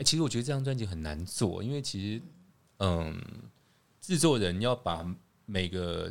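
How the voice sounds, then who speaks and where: Pitched fairly low, a man speaks at a fairly quick pace. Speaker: podcast host. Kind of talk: casual chat. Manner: loud; animated.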